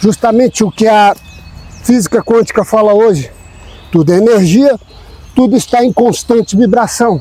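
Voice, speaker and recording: A high-pitched man speaks at a moderate pace, leaving long, frequent pauses. His loudness stays very even, and noticeable background noise runs underneath. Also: ordinary pitch variation. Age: 60s. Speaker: spiritual self-help channel host. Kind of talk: motivational talk.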